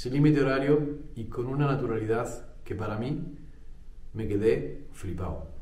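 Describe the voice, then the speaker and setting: A man speaks fairly slowly at a medium pitch. Ordinary pitch variation comes through, and audible room echo surrounds him. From Spain. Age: 40s. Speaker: tech youtuber. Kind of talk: personal monologue.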